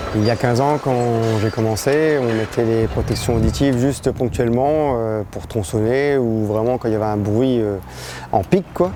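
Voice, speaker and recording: Against noticeable background noise, the voice keeps a moderate pace and varies its pitch in an ordinary way. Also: man, medium pitch for a man. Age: 30s. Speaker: construction site foreman. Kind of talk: interview testimony.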